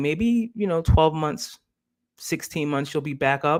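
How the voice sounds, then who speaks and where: A man with an American accent and an unremarkable speaking voice talks at a moderate pace with fairly high pitch and lively intonation. The recording is very clean, with a silent background. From US Northeast, Philadelphia. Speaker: live stream host. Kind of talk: casual live stream discussion.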